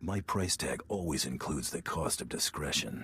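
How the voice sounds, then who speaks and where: In a put-on character voice, a man speaks at a very deep, low pitch and a moderate pace. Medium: video game. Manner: terse, dry.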